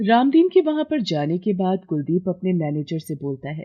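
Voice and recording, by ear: At a moderate pace, a woman talks in a fairly low voice with big pitch swings.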